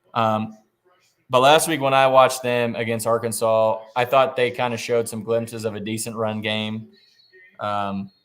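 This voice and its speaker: A man with a Midwestern US accent talks at a moderate pace. His pitch is medium, with ordinary variation. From southwest Iowa. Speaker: sports betting podcast host. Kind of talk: casual chat. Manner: hesitant, many fillers.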